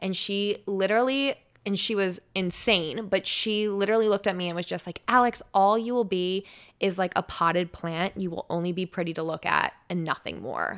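A woman at a moderate pace with an American accent, medium pitch, and ordinary pitch variation, on a very clean recording with a silent background. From US Northeast, South Jersey near Philadelphia. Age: 20s. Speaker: radio personality. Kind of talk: casual chat. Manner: trips over words.

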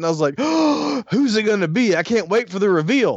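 Using lively intonation, a man with a Southern US accent speaks in a high pitch. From US South. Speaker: podcast host. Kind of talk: casual chat.

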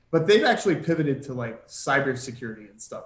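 Audible room echo surrounds a man with a fairly high pitch. He speaks at a fairly quick pace with lively intonation. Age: 30s. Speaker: retail stock trader. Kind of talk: casual chat. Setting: video call.

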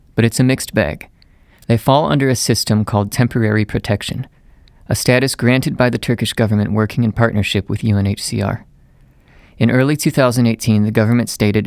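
A man talks in an unremarkable speaking voice, fairly low in pitch, with fairly even intonation. His pace is fairly quick, and the recording is very clean with a silent background. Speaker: podcast host. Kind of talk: scripted narration. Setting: studio.

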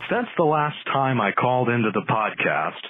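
A medium-pitched male voice at a moderate pace, with noticeable background noise. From Canada. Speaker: podcast caller leaving a voicemail. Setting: phone voicemail. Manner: excellent, crisp diction; announcer-style radio delivery.

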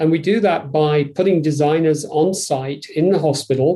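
A man with a Yorkshire accent, dark and mellow in tone, fairly slow in pace, with fairly even intonation. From northern England, Yorkshire. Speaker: design executive. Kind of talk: interview.

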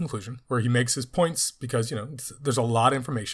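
Over a silent background in a very clean recording, a man speaks at a very fast pace in a somewhat breathy voice. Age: 30s. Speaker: podcast host and teacher. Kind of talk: solo book review podcast.

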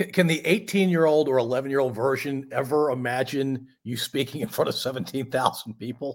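At a fairly quick pace and with hardly any pauses, a man speaks in an ordinary speaking voice pitched fairly high. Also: ordinary pitch variation. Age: 50s. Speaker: podcast host. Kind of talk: casual chat.

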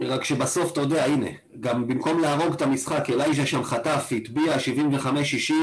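Over noticeable background noise, a man speaks at a fairly quick pace and a fairly high pitch. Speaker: fan podcast co-host. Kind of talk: casual chat. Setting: video call.

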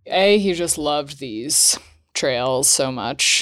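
A woman with a New England accent speaks at a very deep, low pitch with ordinary pitch variation, recorded very cleanly against a silent background. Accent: American, New England. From Vermont, US. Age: 20s. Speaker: ski center board leader and PhD student. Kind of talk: interview, casual chat.

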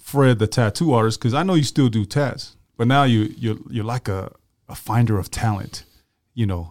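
On a very clean recording with a silent background, a normal speaking voice moves at a moderate pace with lively intonation. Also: man. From Tongan-American, West Valley. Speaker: podcast co-host. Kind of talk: casual interview.

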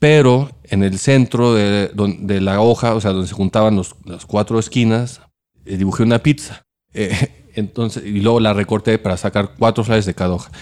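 With fairly even intonation, a man talks at a moderate pace in a fairly low voice. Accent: Mexican. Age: 40s. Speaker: restaurant owner and former video director. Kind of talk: casual interview. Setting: in his restaurant.

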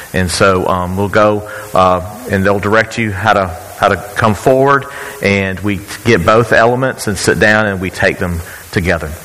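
Noticeable background noise sits behind a man's fairly low voice. He speaks at a moderate pace. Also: ordinary pitch variation. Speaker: church leader. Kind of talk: church service announcement. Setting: church.

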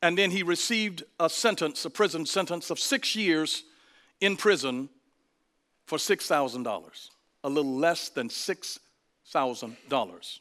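Bright and sharp in tone, the voice has lively intonation and a fairly slow pace with long, frequent pauses, on a very clean recording with a silent background. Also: man, high pitch for a man. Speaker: pastor. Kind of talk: sermon. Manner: animated.

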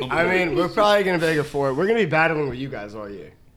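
Over noticeable background noise, a man with an American accent races along at a very fast pace in a fairly high voice, with lively intonation and big swings in loudness. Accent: New York accent, comes out on certain words. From Long Island, New York. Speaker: podcast guest.

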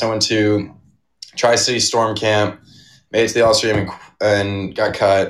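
Monotone, flat intonation from a man at a moderate pace and fairly low pitch, on a very clean recording with a silent background. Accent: American. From Arizona. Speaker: college hockey player. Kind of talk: interview.

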